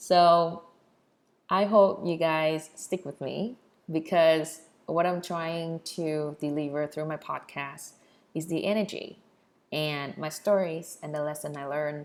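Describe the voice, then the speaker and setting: A woman's very deep, low voice in a Vietnamese accent, at a very slow pace with fairly even intonation. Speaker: podcast host. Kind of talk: personal storytelling podcast.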